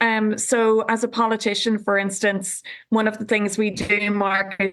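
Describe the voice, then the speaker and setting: A woman with a Northern Irish accent, medium in pitch, at a fairly slow pace. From Northern Ireland, County Tyrone. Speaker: politician. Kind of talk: TV panel discussion. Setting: remote link from home.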